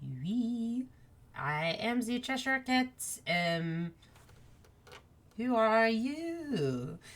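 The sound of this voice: A woman puts on a character voice. She talks at a very slow pace. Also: fairly high pitch for a woman.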